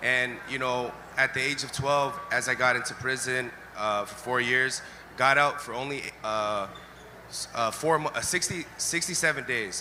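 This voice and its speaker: There is noticeable background noise as a man talks in a Californian accent. His pace is moderate and his pitch variation ordinary. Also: medium pitch for a man. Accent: Californian American English. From Los Angeles, US West Coast. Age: 30s. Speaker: ex-gang member giving testimony. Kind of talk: testimony. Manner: relaxed, chill.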